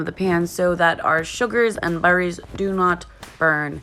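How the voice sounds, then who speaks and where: Noticeable background noise runs behind a woman speaking at medium pitch and a moderate pace. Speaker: cooking channel host. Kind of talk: cooking tutorial voiceover. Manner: casual, chatty.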